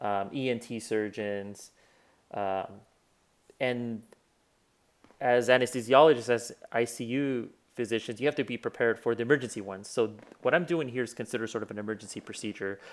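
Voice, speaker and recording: With a Spanish accent, a man at medium pitch speaks in fairly even intonation, leaving long, frequent pauses in a very clean recording with a silent background. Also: fairly quick pace. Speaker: physician. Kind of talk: tutorial. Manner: casual, many fillers.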